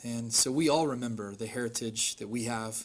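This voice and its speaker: A man speaks at a moderate pace in a normal speaking voice, medium in pitch with ordinary pitch variation. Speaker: pastor. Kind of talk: prayer. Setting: stage with audience. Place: hall. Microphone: podium.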